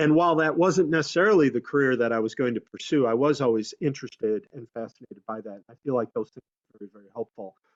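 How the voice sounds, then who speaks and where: A man speaks at a very fast pace with hardly any pauses. His medium-pitched voice has lively intonation. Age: 60s. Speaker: community outreach worker, former broadcaster. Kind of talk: career talk on webinar panel. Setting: video call.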